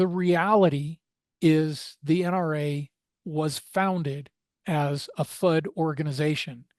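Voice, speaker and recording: At a very slow pace, a man speaks with a fairly high pitch, the sound dry and close with no echo. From Arizona. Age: 60s. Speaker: gun rights organization board member. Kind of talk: podcast interview. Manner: casual with frequent fillers.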